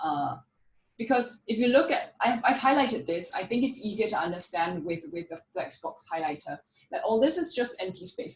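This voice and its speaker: This woman's voice is fairly high and somewhat breathy, with very wide pitch swings. She talks at a fairly quick pace. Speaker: conference speaker, frontend developer. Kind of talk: technical talk with live demo.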